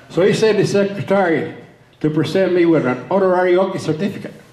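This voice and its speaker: With audible room echo and noticeable background noise, a man with a high pitch talks at a moderate pace and ordinary pitch variation. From Cuba, then Oklahoma from his teens. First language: Spanish. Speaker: public speaker on Cuba. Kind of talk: talk to a political group. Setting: meeting hall with audience.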